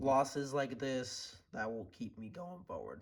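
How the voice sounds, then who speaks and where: The man's voice is somewhat breathy. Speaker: day trader vlogger. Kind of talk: casual vlog talk. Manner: hesitant, many fillers.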